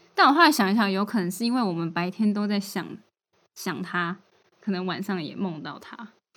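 A woman talks at a fairly quick pace with ordinary pitch variation. Her pitch sits in the medium range, and her loudness swings widely. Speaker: podcast co-host. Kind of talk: casual chat.

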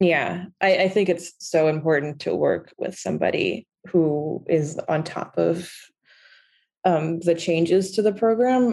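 Fairly low in pitch, a woman speaks in a dark, mellow tone with vocal fry. She has an American accent and a fairly slow pace. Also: ordinary pitch variation. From New York. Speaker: lending expert and finance writer. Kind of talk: interview. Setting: remote call.

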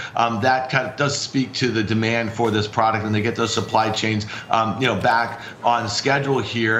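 Over noticeable background noise, a man speaks at medium pitch and a moderate pace with fairly even intonation. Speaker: trader. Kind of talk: market analysis interview.

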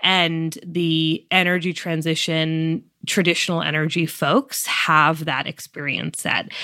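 With an American accent, the speaker has a bright, sharp tone. The pace is fairly slow and the intonation fairly even. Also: woman, fairly low pitch for a woman. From Massachusetts, US. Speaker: climate tech startup founder and CEO. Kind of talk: interview.

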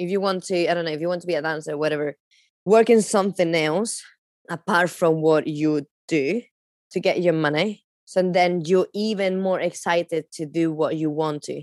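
In a Spanish accent, a woman with a fairly low pitch speaks at a moderate pace with fairly even intonation, recorded dry and close with no echo. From Spain, Palencia. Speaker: magician and dancer. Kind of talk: interview.

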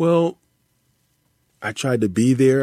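This man speaks at a medium pitch. His pitch varies in an ordinary way. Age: 50s. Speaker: writer and poet. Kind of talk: interview. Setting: remote interview.

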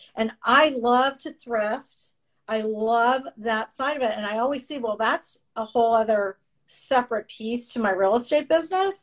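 A woman with a normal speaking voice and fairly high pitch. Her pitch varies in an ordinary way, and her pace is moderate. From Canada, moved to Florida at 14. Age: 50s. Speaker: real estate agent and podcast host. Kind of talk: casual interview chat. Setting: remote call.

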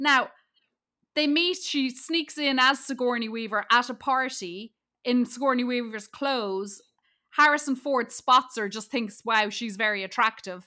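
A woman with an Irish accent speaks at a high pitch in a bright, sharp tone. Her pace is fairly slow, and the recording is very clean with a silent background. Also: ordinary pitch variation. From Ireland. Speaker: comedian. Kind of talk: casual chat.

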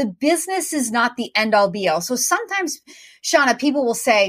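Talking at a fairly quick pace, a woman uses a high pitch with very wide pitch swings. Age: 40s. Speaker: franchise consultant. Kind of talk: interview.

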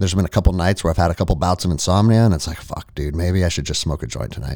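Talking very fast, a man with an American accent has a very deep, low pitch, a dark, mellow tone, vocal fry and ordinary pitch variation. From United States. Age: 40s. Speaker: former army ranger and jiu-jitsu gym owner. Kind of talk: casual chat.

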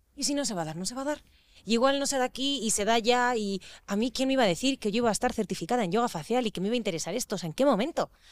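Very fast and lively in intonation, a woman speaks at a fairly high pitch. The recording is very clean with a silent background, dry and close with no echo. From Spain, raised mostly in Madrid. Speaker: actress. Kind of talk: casual chat.

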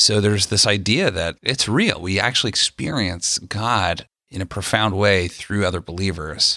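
In a very clean recording with a silent background and a dry, close sound with no echo, a man speaks at a moderate pace with hardly any pauses, a fairly low pitch, ordinary pitch variation and a bright, sharp tone. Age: 30s. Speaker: pastor. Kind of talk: casual chat.

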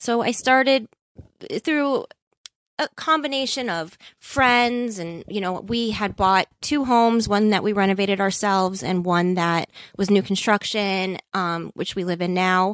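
A woman speaks in a normal speaking voice at a fairly slow pace, with ordinary pitch variation, in a dry, close recording with no echo that is very clean and has a silent background. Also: medium pitch for a woman. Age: 40s. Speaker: interior designer. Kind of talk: casual interview chat.

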